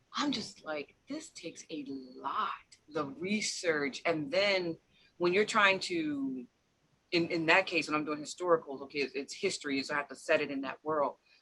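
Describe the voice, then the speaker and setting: A woman speaks at a moderate pace with a very deep, low pitch, a bright, sharp tone and ordinary pitch variation. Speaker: author, podcast host. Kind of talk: casual interview conversation.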